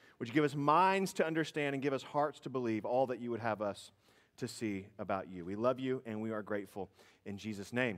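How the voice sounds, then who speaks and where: The background stays quiet. A man moves along at a fairly quick pace. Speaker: pastor. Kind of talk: prayer then sermon. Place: church.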